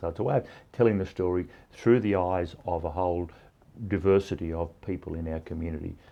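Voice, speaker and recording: A man with an Australian accent talks at a fairly quick pace. His pitch is very deep and low, and his intonation fairly even. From Cowra, New South Wales, Australia. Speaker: mayor and farmer. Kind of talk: interview answer.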